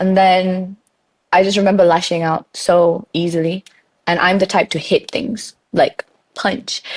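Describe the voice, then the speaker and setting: A woman with a British accent and a bubbly tone speaks at a medium pitch and fairly slow pace, in a dry, close sound with no echo. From Malaysian raised in the UK. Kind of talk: podcast interview answer.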